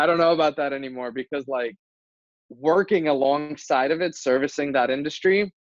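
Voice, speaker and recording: This man's voice sits fairly high, with ordinary pitch variation. The sound is dry and close, with no echo. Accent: American. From New Jersey. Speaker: entrepreneur, kitchen and bath contractor. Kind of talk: casual interview chat.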